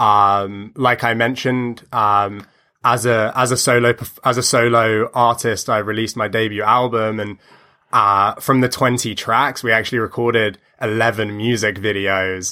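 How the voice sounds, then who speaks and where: In a British accent, a man with a medium pitch and a bright, sharp tone speaks at a moderate pace with monotone, flat intonation. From United Kingdom. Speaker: musician. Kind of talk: interview. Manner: hesitant, many fillers.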